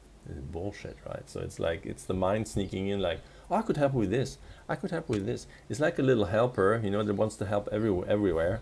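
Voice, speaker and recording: Talking at a very fast pace with a non-native accent, a man with a dark, mellow tone and vocal fry uses lively intonation. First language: not English. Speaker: spiritual coach. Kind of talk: casual monologue vlog. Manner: halting with frequent restarts.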